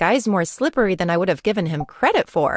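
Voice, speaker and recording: At a fairly quick pace, a woman growls through a put-on character voice at a medium pitch. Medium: video game. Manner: dry, measured.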